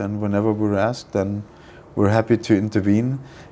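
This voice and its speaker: A man's dark, mellow voice with a non-native accent. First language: not English. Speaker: freight forwarding network manager. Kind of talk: business interview. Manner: hesitant, many fillers.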